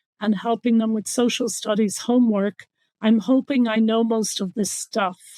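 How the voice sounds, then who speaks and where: A woman's fairly high, monotone voice with flat intonation and an Irish accent, in a very clean, silent recording with a dry, close sound and no echo. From Ireland. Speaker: water conservation official. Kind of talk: interview.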